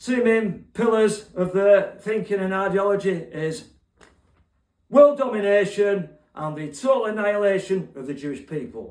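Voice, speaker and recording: A man with a Cockney accent speaks at a high pitch and a moderate pace, with ordinary pitch variation and big swings in loudness. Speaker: online poet and political commentator. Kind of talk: political monologue with spoken poetry.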